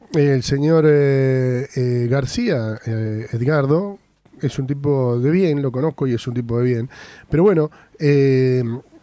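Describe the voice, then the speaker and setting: A man at a medium pitch, with ordinary pitch variation and a dry sound with no echo. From Argentina. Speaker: radio host. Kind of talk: radio interview. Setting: radio studio. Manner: halting. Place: studio.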